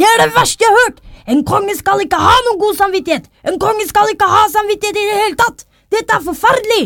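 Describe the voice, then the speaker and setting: Shouting in a put-on character voice, a woman speaks at an extremely high pitch with ordinary pitch variation. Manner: yelling, indignant.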